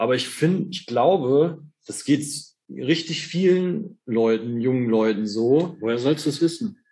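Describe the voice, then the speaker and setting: At a fairly slow pace, a man with a fairly high pitch and a dark, mellow tone speaks with lively intonation. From Germany, eastern Hesse. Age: 30s. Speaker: orthopedic technician. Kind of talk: casual chat.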